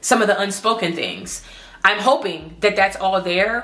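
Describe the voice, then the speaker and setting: A woman speaks with an American accent at a moderate pace. Her pitch varies in an ordinary way over noticeable background noise. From Baltimore, Maryland, US. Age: 20s. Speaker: medical student vlogger. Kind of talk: casual vlog monologue. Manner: rambling, stuttering.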